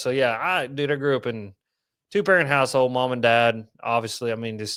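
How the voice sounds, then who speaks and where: A man's medium-pitched voice with an East Tennessee accent at a fairly quick pace, in a very clean recording with a silent background. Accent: east Tennessee Southern. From east Tennessee, Knoxville. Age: 30s. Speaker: fishing content creator. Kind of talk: casual chat.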